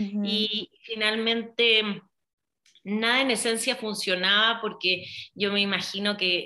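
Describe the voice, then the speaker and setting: At a fairly slow pace, a woman with a fairly high pitch and a bright, sharp tone speaks in a flat monotone at very even loudness. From Chile. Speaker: hypnotherapist. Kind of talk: interview.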